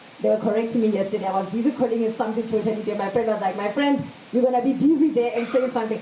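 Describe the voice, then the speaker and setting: Amid noticeable background noise and audible room echo, a woman talks very fast with fairly even intonation. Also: fairly high pitch for a woman. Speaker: event MC. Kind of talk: speech at book launch. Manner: loud.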